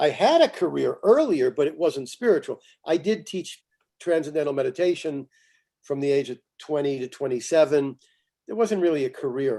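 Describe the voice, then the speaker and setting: A man's fairly high-pitched voice with a dark, mellow tone at a moderate pace. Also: ordinary pitch variation. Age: 70s. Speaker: astrologer. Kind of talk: interview.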